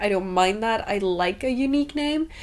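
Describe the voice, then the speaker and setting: A woman in a Danish accent, her pitch fairly high, with ordinary variation and a moderate pace. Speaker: book vlogger. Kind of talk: casual vlog chat while baking.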